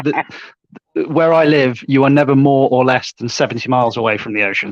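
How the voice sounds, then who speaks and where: A man in an English Midlands accent, fairly high pitch, ordinary pitch variation, and a very fast pace. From English Midlands, Warwickshire. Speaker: online debater. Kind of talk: casual chat.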